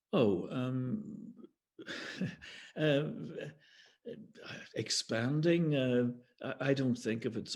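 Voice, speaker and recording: A man's somewhat breathy voice at a medium pitch. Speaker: poet. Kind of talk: interview answer.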